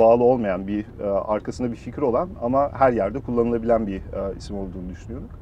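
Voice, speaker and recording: This man has an ordinary speaking voice at medium pitch, speaking at a fairly quick pace with ordinary pitch variation. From Germany. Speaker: startup founder and CEO. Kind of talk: interview.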